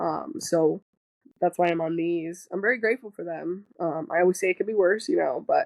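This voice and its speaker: Talking at a fairly quick pace, a woman uses a plain, everyday voice at a medium pitch. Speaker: cancer survivor sharing her story. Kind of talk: podcast interview, casual chat. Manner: casual, many fillers.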